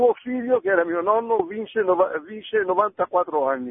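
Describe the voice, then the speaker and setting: The speaker is a man whose pitch is high. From Veneto, Italy. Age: 80s+. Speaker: caller. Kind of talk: phone-in testimony. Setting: phone call.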